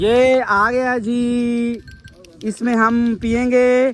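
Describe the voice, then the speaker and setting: A man speaks at an extremely high pitch. Noticeable noise runs in the background. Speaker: vlogger. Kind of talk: casual vlog. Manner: animated.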